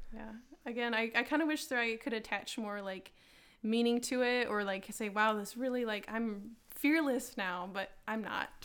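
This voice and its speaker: A woman with an unremarkable speaking voice, fairly high in pitch, with ordinary pitch variation. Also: moderate pace. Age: 20s. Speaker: artist and roller derby player. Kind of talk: casual interview, personal paranormal stories.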